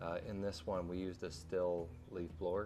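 Over light background noise, a man speaks at a very deep, low pitch with a dark, mellow tone and fairly even intonation. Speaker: concrete contractor. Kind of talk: tutorial. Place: street.

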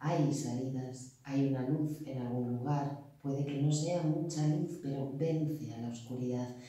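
A woman with a very deep, low voice speaks at a fairly slow pace with fairly even intonation in strong room echo. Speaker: poetry reciter. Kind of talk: poetry reading. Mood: calm, earnest. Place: meeting room. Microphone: camera far.

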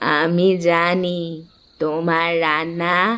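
Delivered at a middle pitch, this is a cartoonish character voice. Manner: knowing, amused.

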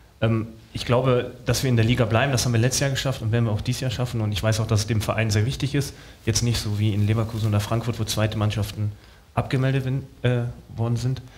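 Over light background noise, a man speaks very fast with monotone, flat intonation. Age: 30s. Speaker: professional footballer; talk show guest. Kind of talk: talk show interview. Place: stage. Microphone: headset.

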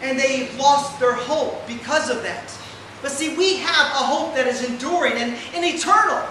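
In a room with audible echo and light background noise, a man with an extremely high pitch speaks at a moderate pace with ordinary pitch variation. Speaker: preacher delivering a lesson. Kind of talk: sermon. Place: hall.

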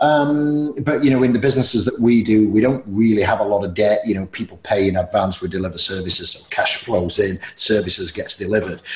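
A man's fairly low-pitched voice at a fairly quick pace, with hardly any pauses, ordinary pitch variation and audible room echo. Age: 40s. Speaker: podcast host. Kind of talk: casual interview. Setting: video call. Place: home room. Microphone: earbuds.

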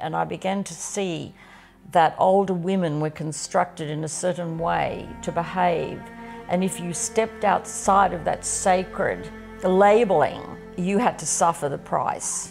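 With faint music in the background, the speaker talks fairly slowly in an Australian accent with fairly even intonation. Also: woman. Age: 70s. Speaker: farmer. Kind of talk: documentary interview answer. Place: home room.

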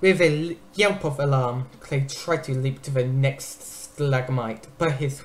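Someone is reading aloud in a natural voice. The words are read from a text.

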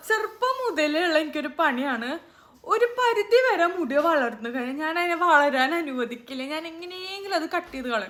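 A woman's extremely high pitch with very wide pitch swings. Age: 20s. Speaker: YouTuber. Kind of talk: hair care vlog tutorial. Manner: casual, halting.

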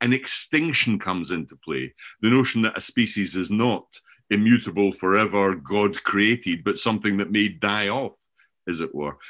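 Against a quiet background, a man with a Scottish accent speaks at a moderate pace and a fairly low pitch, his intonation lively. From Scotland. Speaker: professor and author on learning. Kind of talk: conversational interview discussion. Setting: remote, sitting in Scotland. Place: home room. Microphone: webcam.

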